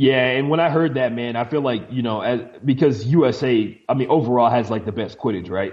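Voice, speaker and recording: A man with a normal speaking voice talks at a fairly quick pace. His pitch is medium, with ordinary pitch variation. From Houston, Texas. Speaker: sports commentator. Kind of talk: casual interview chat.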